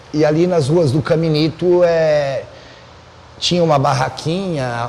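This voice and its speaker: At a very slow pace, a man with a fairly high pitch and a Buenos Aires accent speaks with ordinary pitch variation over noticeable background noise. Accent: Buenos Aires Spanish-tinged Portuguese. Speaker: podcast host. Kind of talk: casual chat.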